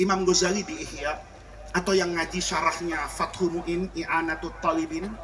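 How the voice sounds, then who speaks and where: Through noticeable background noise and audible room echo, a man with a high voice speaks at a moderate pace. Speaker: Islamic preacher. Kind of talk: sermon. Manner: animated.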